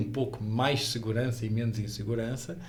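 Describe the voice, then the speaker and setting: Speaking with a strong European Portuguese accent, a man delivers flat, monotone lines at a fairly quick pace and medium pitch, with audible room echo around him. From Portugal. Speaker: security technology executive. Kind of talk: casual interview chat.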